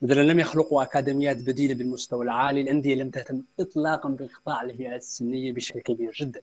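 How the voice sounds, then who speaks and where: Monotone, flat delivery at a fairly quick pace with hardly any pauses. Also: man, medium pitch for a man. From Mauritania. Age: young. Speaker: football coach and analyst. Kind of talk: casual interview chat. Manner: formal.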